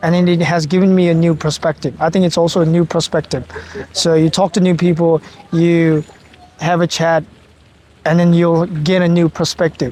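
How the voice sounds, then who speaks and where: With a Nepali accent, a man talks at a moderate pace in a high pitch, his intonation monotone and flat, his loudness very even, with long, frequent pauses and noticeable background noise. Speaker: master's student. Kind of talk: casual chat.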